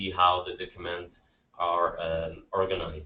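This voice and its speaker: A man with a very deep, low voice and a Quebec accent. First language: French. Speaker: public infrastructure BIM specialist. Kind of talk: conference presentation. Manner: halting, many repetitions and fillers.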